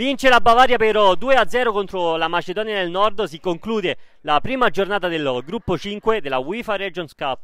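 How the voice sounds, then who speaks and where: High-pitched man's voice with a bright, sharp tone and lively intonation. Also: moderate pace. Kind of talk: live sports commentary.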